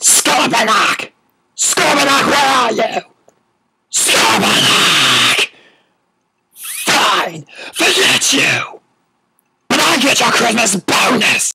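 A put-on character voice comes through at a fairly high pitch. It moves at a very slow pace, with long, frequent pauses. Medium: audio drama. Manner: bossy, petulant.

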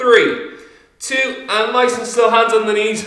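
Audible room echo surrounds a man's extremely high-pitched voice against a quiet background. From Ireland. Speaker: fitness instructor. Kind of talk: workout instruction. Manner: encouraging. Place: empty room.

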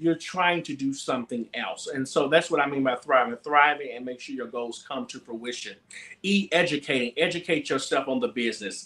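A man with an American accent, fairly high-pitched, at a moderate pace, big swings in loudness over noticeable background noise. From Mississippi, US South (Gulfport). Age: 20s. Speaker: gospel singer. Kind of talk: casual chat. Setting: video call.

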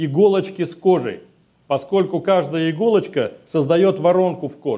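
Against a quiet background, a man with a high pitch and dark, mellow tone talks at a moderate pace with fairly even intonation. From Russia, Siberia; Russia. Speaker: SCENAR therapist; conference presenter. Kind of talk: conference talk. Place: meeting room. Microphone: lapel.

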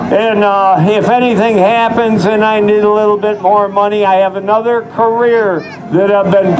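Over noticeable background noise, a man with a high pitch talks at a fairly slow pace in fairly even intonation, with hardly any pauses. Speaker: rattlesnake show presenter. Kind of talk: live show patter to audience. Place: stage.

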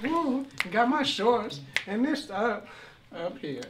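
This put-on character voice sits at a fairly high pitch and moves at a very slow pace. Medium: short film.

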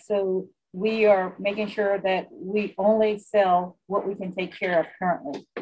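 Over light background noise, a woman with an American accent speaks with fairly even intonation. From US South, southern Louisiana. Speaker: casino executive. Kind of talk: interview. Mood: calm, confident, businesslike. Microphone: video call.

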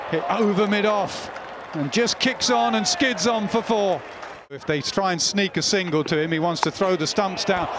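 Over crowd noise in the background, a man talks at a high pitch with lively intonation and an animated tone. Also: moderate pace. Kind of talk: sports commentary. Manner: animated, analytical, builds excitement.

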